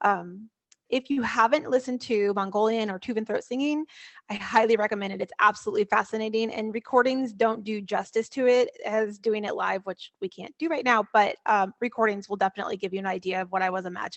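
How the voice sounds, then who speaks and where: Words come out very fast. Pitch rises and falls in an ordinary way. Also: woman, fairly high pitch for a woman. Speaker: composer. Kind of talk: casual chat. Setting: video call.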